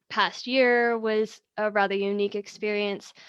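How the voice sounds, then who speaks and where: A woman speaks in an unremarkable speaking voice with an American accent and medium pitch. Her intonation is fairly even, and the background is quiet. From United States. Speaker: networking group co-founder and webinar host. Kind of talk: webinar interview. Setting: video call livestream from home.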